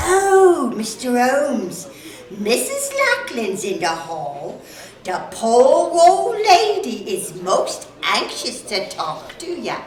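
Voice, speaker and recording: A woman uses a put-on character voice at a high pitch, with very wide pitch swings. She speaks very slowly, with slight echo. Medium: audio drama. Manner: brisk, blunt.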